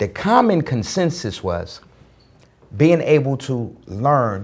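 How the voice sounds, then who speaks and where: A man with an American accent talks at a very slow pace, his pitch fairly high and swinging very widely. The voice is somewhat breathy. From US Northeast, Newark, New Jersey. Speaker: motivational speaker. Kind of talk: talk show conversation.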